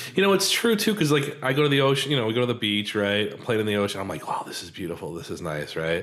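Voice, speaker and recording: Over noticeable background noise, a man with an American accent and medium pitch talks in an animated tone at a very fast pace with hardly any pauses, very wide pitch swings and big swings in loudness. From United States. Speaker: podcast host. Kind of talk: casual interview.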